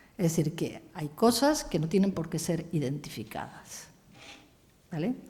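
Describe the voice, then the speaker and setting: A woman speaks at a fairly slow pace in a fairly low pitch, her tone dark and mellow and somewhat breathy. Her intonation is lively, and audible room echo surrounds her voice. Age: 70s. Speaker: philosopher and feminist writer. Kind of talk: lecture.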